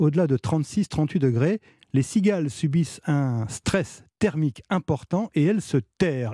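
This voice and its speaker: The sound is dry and close with no echo, over a quiet background. A man talks in a fairly high pitch, somewhat breathy, with a dark, mellow tone. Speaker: radio host. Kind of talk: news reading, press review. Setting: radio studio. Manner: formal, even-paced; clear, steady newsreader delivery.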